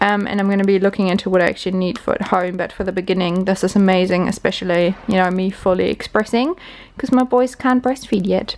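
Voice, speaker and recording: The delivery is very fast, in a New Zealand accent. Intonation stays fairly even. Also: woman, medium pitch for a woman. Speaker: vlogger, new mother. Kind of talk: casual vlog.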